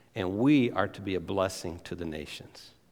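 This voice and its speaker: Audible room echo hangs around this voice. It belongs to a man. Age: 50s. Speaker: missions charity representative and former pastor. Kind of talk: guest sermon. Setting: church service.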